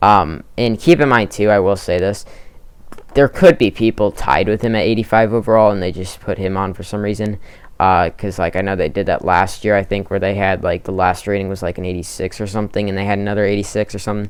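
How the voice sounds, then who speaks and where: At a very fast pace, a man with a fairly low pitch speaks in fairly even intonation. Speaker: gaming YouTuber. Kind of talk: casual commentary video. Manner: filler-heavy, hesitant.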